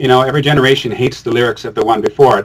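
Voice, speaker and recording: Fairly even intonation from a man, pitched in the middle range. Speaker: musician and filmmaker. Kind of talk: interview conversation. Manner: loud.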